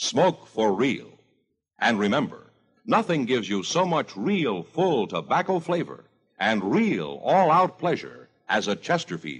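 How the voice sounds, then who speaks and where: A man talks at medium pitch and a fairly slow pace in a warm, upbeat tone, with vocal fry and very even loudness. His pitch swings are very wide. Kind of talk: radio commercial, sponsor pitch. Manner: smooth, polished, persuasive announcer delivery; warm, upbeat, 1950s radio salesman cadence.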